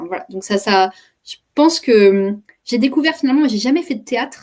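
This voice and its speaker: Her high voice moves at a fairly quick pace, and the woman's intonation is lively. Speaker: communication coach and trainer. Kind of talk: interview, personal story. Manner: fast; hesitant, many repetitions.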